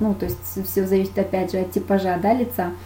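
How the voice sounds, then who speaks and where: Her intonation stays fairly even as the woman speaks at a moderate pace. Audible room echo surrounds the voice. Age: 30s. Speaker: makeup artist. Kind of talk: webinar lecture. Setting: online webinar.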